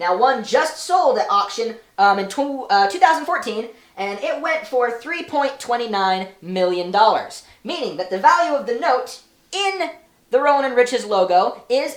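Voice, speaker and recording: A squeaky, female-sounding put-on character voice, high in pitch, at a moderate pace. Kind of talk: comedic analysis talk. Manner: squeaky, put-on.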